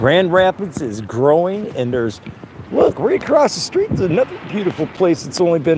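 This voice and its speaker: There is noticeable background noise as a man talks at a moderate pace. His voice is high with very wide pitch swings. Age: 60s. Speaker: video blogger. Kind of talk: casual vlog narration.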